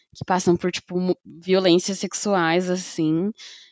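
A woman with a medium pitch speaks fairly slowly in an unremarkable speaking voice. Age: 20s. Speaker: podcast co-host. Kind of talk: casual chat.

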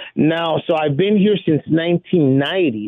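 At a fairly slow pace, a man with an American accent uses an ordinary speaking voice at a fairly high pitch. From East Los Angeles. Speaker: caller. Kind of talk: phone-in call. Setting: phone call.

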